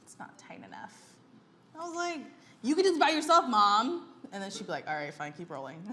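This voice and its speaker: Over noticeable background noise, a woman with a fairly high pitch talks at a fairly quick pace, her pitch swinging very widely and her loudness rising and falling sharply, with long, frequent pauses. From US, California (Daly City area). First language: Tagalog. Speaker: food vlogger. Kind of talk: casual chat. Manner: casual, animated.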